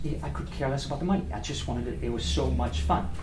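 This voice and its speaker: Speaking very fast, a man's voice carries audible room echo. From France (Paris). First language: French. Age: 50s. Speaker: restaurant owner and former sales representative. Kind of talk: guest talk at a speaking club. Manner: animated.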